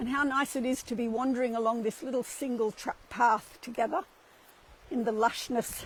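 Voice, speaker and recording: In an Australian accent, a woman with a high pitch speaks at a moderate pace. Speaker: spiritual livestream host. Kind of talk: casual walking livestream talk. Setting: outdoors, walking a cliff path.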